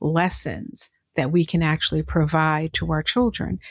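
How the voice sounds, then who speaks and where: A woman's plain, everyday voice with a fairly low pitch at a fairly slow pace, with a dry, close sound with no echo. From New York (Brooklyn). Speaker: podcast host. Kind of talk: interview conversation.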